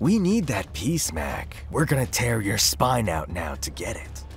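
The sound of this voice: A man's put-on character voice, fairly low in pitch and fairly slow, with vocal fry, very wide pitch swings, and clear music in the background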